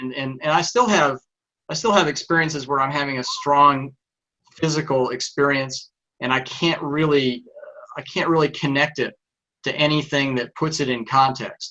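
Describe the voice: A man in a Texan accent, medium-pitched with ordinary pitch variation, a moderate pace and a bright, sharp tone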